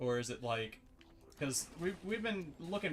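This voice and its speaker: Music plays in the background. A man speaks at a fairly high pitch with lively intonation. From Mississippi. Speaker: streamer. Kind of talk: casual chat. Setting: live stream.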